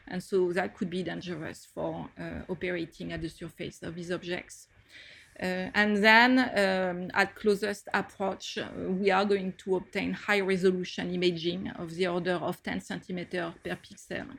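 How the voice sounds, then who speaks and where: A woman with a French accent speaks at a medium pitch, with vocal fry and fairly even intonation. The recording is very clean, with a silent background. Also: moderate pace. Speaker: planetary scientist. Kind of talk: interview.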